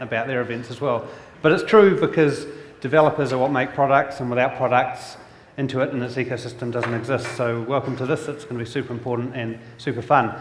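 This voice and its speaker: The speaker talks at a fairly quick pace in a New Zealand accent. Audible room echo and noticeable background noise fill the recording. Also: man. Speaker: industry analyst and event host. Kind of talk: conference keynote hosting. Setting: stage with audience.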